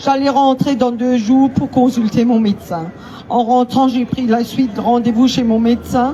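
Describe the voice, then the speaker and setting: A woman's high-pitched voice with fairly even intonation, against noticeable background noise. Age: 60s. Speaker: vaccine injury victim. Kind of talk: testimony. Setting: outdoor public square rally.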